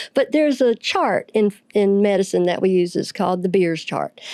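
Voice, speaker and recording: A woman with a dark, mellow tone speaks at a moderate pace and medium pitch, in a dry, close sound with no echo. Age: old. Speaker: medical professional. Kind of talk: interview discussion. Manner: explanatory.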